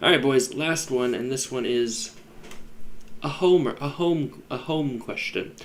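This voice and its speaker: A man talks fairly slowly while noticeable background noise carries on behind him. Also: fairly high pitch for a man, ordinary pitch variation. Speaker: fantasy football podcast host. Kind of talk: casual chat. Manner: loud; animated.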